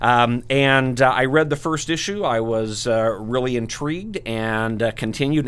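A man with a normal speaking voice at medium pitch, ordinary pitch variation, and a very clean recording over a silent background. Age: 60s. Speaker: comic book podcast panelist. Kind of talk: casual chat.

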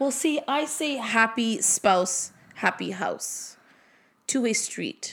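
A high-pitched woman's voice at a very slow pace, full of lively intonation. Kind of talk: casual chat. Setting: living room at home. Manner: casual, swears often.

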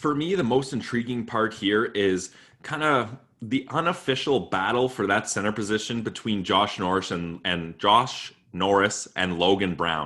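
With a bright, sharp tone and lively intonation, a man speaks at a moderate pace and a fairly low pitch in a very clean recording with a silent background. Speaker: sports podcast host. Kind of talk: casual chat.

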